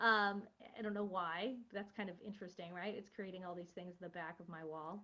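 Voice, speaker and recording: Audible room echo surrounds a woman whose bright, sharp tone carries fairly even intonation. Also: medium pitch for a woman, fairly quick pace. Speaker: college instructor. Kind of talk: lecture. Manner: fast.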